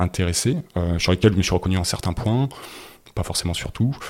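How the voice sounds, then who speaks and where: This man's voice is very deep and low, captured in a very clean recording with a silent background. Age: 40s. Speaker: cabinetmaker and former business executive. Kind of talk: interview testimony. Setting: at his home.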